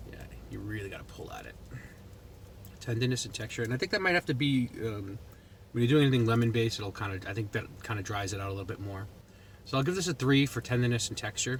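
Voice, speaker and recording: A man with an American accent talks at a very fast pace and a medium pitch, with ordinary pitch variation and big swings in loudness. His somewhat breathy delivery has long, frequent pauses. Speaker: food reviewer vlogger. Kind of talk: product review vlog. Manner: casual, conversational.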